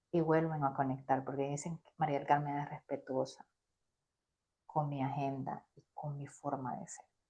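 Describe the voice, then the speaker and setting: In a very deep, low voice with a dark, mellow tone, a woman speaks at a moderate pace while her loudness swings widely. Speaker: business coach. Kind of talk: interview. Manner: animated.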